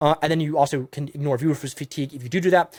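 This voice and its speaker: A man talks very fast in a fairly high voice. The sound is dry and close with no echo, in a very clean recording with a silent background. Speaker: YouTube strategy consultant. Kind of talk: monologue advice video. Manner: animated.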